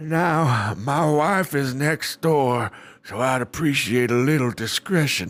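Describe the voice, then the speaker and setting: In a very clean recording with a silent background, a man uses a put-on character voice, fairly high-pitched for a man, with ordinary pitch variation and a fairly slow pace. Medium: read story. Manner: gruff, contemptuous.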